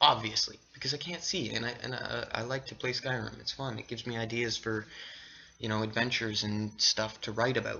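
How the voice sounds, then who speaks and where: A normal speaking voice from a man, medium in pitch, at a fairly quick pace with fairly even intonation. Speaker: vlogger. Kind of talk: casual vlog monologue. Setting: at home on camera. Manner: rambling with fillers and restarts.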